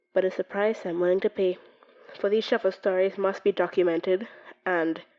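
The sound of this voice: An unforced reading voice, fairly even in its intonation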